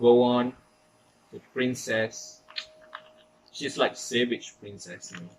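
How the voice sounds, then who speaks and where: A man with a medium pitch and a non-native accent at a very slow pace, with ordinary pitch variation, long, frequent pauses, big swings in loudness and noticeable background noise. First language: not English. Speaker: K-pop fan YouTuber. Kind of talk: casual talk to camera.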